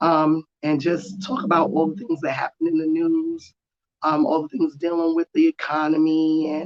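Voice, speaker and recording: Delivered at a moderate pace, the speech carries a New York accent. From New York, Jamaica Queens. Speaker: political YouTuber. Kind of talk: solo commentary. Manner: casual, hesitant with many ums.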